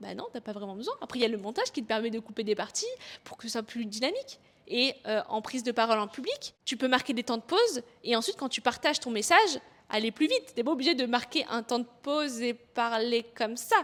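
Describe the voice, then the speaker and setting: A woman talks at a fairly quick pace in a high pitch. Her pitch varies in an ordinary way, while her loudness swings widely. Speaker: online coach and content creator. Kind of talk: motivational tutorial to camera. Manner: lively, expressive.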